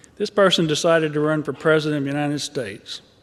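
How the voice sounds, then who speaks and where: A man with a Southern US accent, fairly high in pitch, at a moderate pace. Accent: Southern US accent, noticeable. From Arkansas. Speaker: mental health advocate. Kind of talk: rally speech. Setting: stage at a rally.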